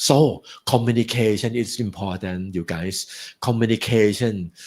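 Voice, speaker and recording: A man speaks with a Thai accent. His pitch is fairly low. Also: ordinary pitch variation, fairly slow pace, very clean recording, silent background. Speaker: guest speaker at graduation. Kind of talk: speech. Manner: halting.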